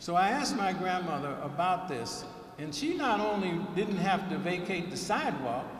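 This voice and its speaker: A man speaks at a high pitch and a moderate pace. Audible room echo and noticeable background noise surround him. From US South, Alabama. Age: 70s. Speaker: keynote speaker. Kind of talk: speech at a ceremony.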